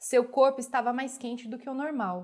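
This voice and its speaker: This is a woman with a high-pitched voice. The recording is very clean and the background silent. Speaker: storyteller. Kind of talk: audiobook reading.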